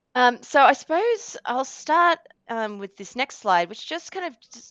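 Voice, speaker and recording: Sounding dry and close with no echo against a quiet background, a woman speaks fairly quickly with lively intonation. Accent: Australian. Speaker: change management executive in banking. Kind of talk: webinar presentation. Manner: casual, conversational with fillers.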